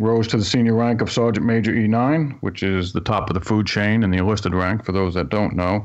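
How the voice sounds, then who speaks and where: A man with an American accent, fairly low in pitch, at a fairly quick pace, with very even loudness, ordinary pitch variation and hardly any pauses. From New York City (Staten Island). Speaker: workplace security consultant, retired army sergeant major. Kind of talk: radio talk show conversation. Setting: live radio broadcast.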